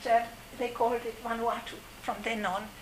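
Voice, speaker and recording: A high-pitched woman over noticeable background noise. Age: 70s. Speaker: former overseas development volunteer, furniture maker. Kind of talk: personal storytelling to a live audience. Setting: community event with audience. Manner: halting.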